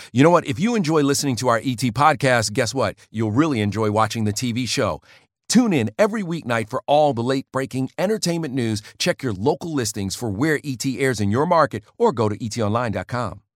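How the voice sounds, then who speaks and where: An unremarkable speaking voice moves at a fairly quick pace with lively intonation, in a very clean recording with a silent background and a dry, close sound with no echo. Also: man. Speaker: entertainment news host. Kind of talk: news reading. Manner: polished, broadcast delivery.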